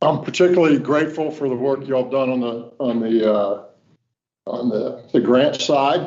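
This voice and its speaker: A man with a Virginia Tidewater accent at a moderate pace and ordinary pitch variation, in audible room echo. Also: medium pitch for a man. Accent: Virginia Tidewater Southern. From Virginia, Norfolk. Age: 60s. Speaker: state transportation official. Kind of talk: welcome speech at board meeting. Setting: meeting room at podium. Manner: casual, folksy.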